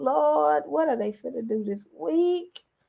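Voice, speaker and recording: A female-sounding voice performs a put-on character voice at medium pitch. It moves at a fairly slow pace with very wide pitch swings. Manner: exasperated, bracing.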